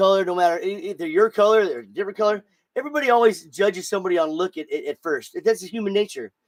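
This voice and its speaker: Recorded dry and close with no echo, a high-voiced man talks at a very fast clip in an animated tone. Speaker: podcast host. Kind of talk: casual chat. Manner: stuttering.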